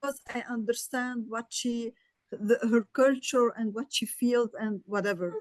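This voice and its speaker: Fairly slow speech with a non-native accent, fairly even intonation and a dry, close sound with no echo. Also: woman, high pitch for a woman. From Lebanon. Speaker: audience member. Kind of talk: question in webinar. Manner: halting.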